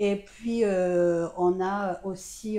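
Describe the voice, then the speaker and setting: With fairly even intonation, a woman's voice carries a dark, mellow tone. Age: 60s. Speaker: retired pediatrician and amateur runner. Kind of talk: interview testimony. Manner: hesitant, many fillers.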